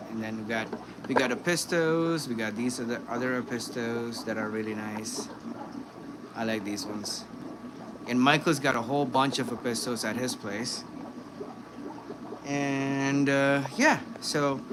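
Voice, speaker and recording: A soft-spoken man at medium pitch talks with ordinary pitch variation and long, frequent pauses. Noticeable background noise and audible room echo surround him. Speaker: fish breeder and aquarium youtuber. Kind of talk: live stream tour. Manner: casual.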